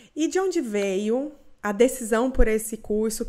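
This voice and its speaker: A fairly high-pitched woman with a Goiás accent. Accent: Goiás Brazilian accent, noticeable. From Goiás, Brazil. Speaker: podcast host. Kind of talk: interview.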